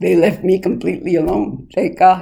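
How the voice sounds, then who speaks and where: This voice comes with a Spanish accent and moves at a moderate pace. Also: woman. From El Paso area, Texas (San Elizario). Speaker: oral history interviewee. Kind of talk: oral history interview. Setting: interviewee's home.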